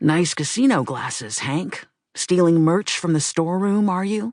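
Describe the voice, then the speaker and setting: The voice is a put-on character voice pitched in the middle range. Its pace is moderate. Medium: read story.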